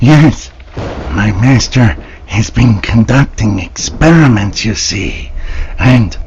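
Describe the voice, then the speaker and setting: A man's put-on character voice at medium pitch, very slow and lively in intonation, with long, frequent pauses and clear background noise. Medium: audio drama. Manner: servile, eager, giggling.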